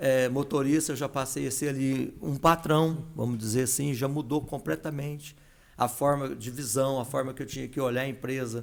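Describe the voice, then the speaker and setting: Medium pitch, a moderate pace and fairly even intonation from a man with a normal speaking voice. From São Paulo city, Brazil. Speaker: entrepreneur and veterinarian. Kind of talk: podcast interview.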